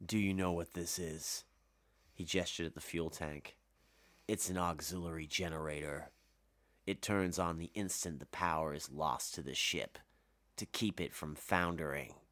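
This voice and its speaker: Using a booming put-on character voice, a man speaks at a very deep, low pitch with fairly even intonation and long, frequent pauses, on a very clean recording with a silent background. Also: moderate pace. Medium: read story. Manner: measured, menacing.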